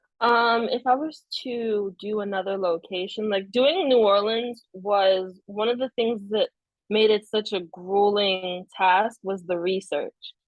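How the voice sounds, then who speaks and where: A woman's medium-pitched voice, fairly slow and nearly pauseless, with fairly even intonation. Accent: Haitian. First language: Haitian Creole. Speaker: novelist. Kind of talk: casual interview chat.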